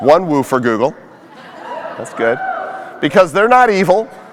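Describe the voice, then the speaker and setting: A man speaks over noticeable background noise. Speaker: conference speaker and social media influencer. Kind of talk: keynote talk. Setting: stage with audience. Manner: animated.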